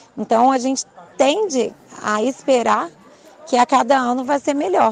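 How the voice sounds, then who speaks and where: A woman talks with ordinary pitch variation. Crowd noise can be heard in the background. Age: 40s. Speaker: physical education teacher. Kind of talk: interview. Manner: halting, many fillers.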